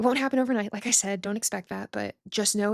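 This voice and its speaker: The recording is dry and close with no echo as a woman speaks at a medium pitch with fairly even intonation. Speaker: podcast host on health anxiety. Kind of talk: solo podcast talk. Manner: casual, conversational; sometimes stumbles over words.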